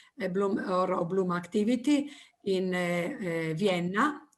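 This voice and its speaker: Speaking with an Italian accent, a woman's voice sits at a medium pitch and carries audible room echo. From Italy. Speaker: teacher. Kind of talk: presentation. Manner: halting.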